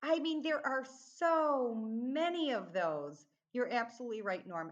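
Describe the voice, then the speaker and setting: A woman with a Midwestern American accent, a fairly slow pace and very wide pitch swings. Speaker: accent training company founder. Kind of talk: podcast interview.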